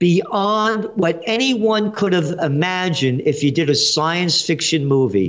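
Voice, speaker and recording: A man with a New York accent and a high voice talks at a very slow pace with lively intonation. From New York City (Bronx). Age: 70s. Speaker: trend forecaster and publisher. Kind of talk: interview. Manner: animated.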